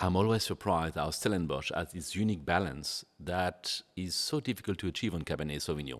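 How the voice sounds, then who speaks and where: A man's very deep, low voice with vocal fry and ordinary pitch variation, at a fairly quick pace with hardly any pauses, on a very clean recording with a silent background. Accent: French. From France. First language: French. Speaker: sommelier. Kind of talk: wine tasting interview. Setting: barrel cellar.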